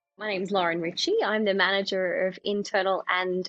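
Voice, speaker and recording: Her words come out rather quickly. The intonation stays flat and monotone throughout. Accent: Australian. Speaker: communications manager, former TV reporter. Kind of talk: podcast interview. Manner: conversational with fillers.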